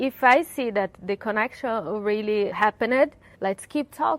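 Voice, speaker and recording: At a fairly slow pace, a woman with a Brazilian Portuguese accent talks fairly high for a woman with ordinary pitch variation, in a dry, close sound with no echo on a very clean recording with a silent background. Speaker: journalist. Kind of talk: interview. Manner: hesitant, with fillers.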